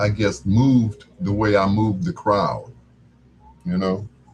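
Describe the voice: A man speaks slowly with a slightly husky edge. His pitch is fairly low and his intonation fairly even.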